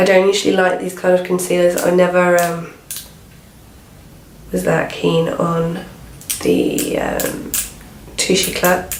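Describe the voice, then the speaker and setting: A woman with a British accent speaks at a fairly slow pace with long, frequent pauses over noticeable background noise. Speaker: beauty vlogger. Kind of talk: casual talk to camera.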